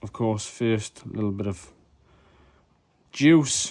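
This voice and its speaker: A quiet male voice at a fairly slow pace. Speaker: hobbyist maker and seller of mod kits. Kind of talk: tutorial.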